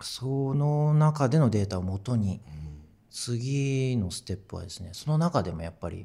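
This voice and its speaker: A man with a dark, mellow tone speaks at a medium pitch and a moderate pace, somewhat breathy. His pitch swings very widely, his loudness shifts in big swings, and the recording is very clean with a silent background. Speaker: musician. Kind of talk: casual chat.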